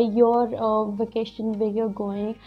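A woman talks at a fairly slow pace in a monotone, flat voice. Faint music plays in the background. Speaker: beauty vlogger. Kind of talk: casual tutorial vlog chat. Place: home room. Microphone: lapel.

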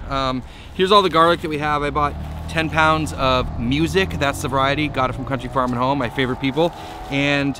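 Over noticeable background noise, a man speaks fairly quickly with ordinary pitch variation. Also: dry sound with no echo. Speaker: small farmer vlogger. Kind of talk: casual vlog chat. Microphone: phone near.

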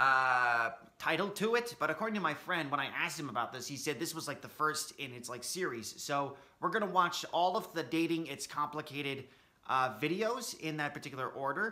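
His intonation is lively. The man talks at a fairly quick speed. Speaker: reaction video host. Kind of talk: casual vlog chat. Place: home room. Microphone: earbuds.

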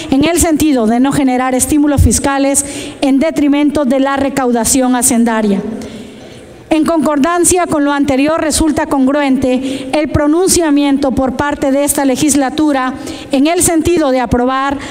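The delivery has fairly even intonation, very even loudness and a moderate pace. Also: woman, high pitch for a woman. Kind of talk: formal report read aloud. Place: hall. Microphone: podium.

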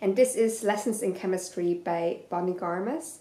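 Audible room echo on a woman's voice. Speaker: book vlogger. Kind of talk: casual chat. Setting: video to camera. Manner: casual, hesitant with fillers. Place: home room. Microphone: camera far.

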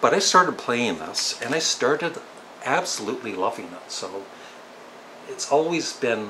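A man with a Canadian accent talks at a fairly slow pace, with long, frequent pauses, very wide pitch swings and big swings in loudness, over light background noise. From Ontario, Canada. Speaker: YouTuber. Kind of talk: casual talk to camera. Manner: calm, relaxed. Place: home room. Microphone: webcam.

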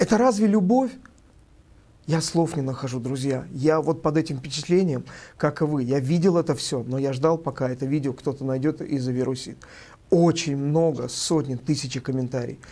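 Dark, mellow male voice at a moderate pace with ordinary pitch variation. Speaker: bishop and channel host. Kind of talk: video address commentary. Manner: emotional. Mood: indignant, accusatory. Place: studio.

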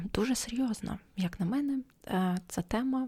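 Soft-spoken and whispering, a woman's voice comes out somewhat breathy. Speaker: ASMR podcaster. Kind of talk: ASMR podcast talk for sleep. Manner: half-whispered, soft.

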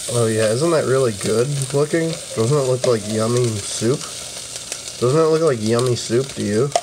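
A man's voice holds a very even loudness. Noticeable background noise sits behind it. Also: ordinary pitch variation, moderate pace. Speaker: amateur video creator. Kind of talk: casual vlog chat. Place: kitchen. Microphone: phone near.

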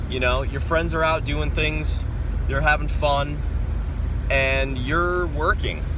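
Noticeable background noise runs under the recording. A man speaks at a fairly slow pace. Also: dry sound with no echo. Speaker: vlogger. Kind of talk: casual vlog chat. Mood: reflective, motivational. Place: car. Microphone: phone near.

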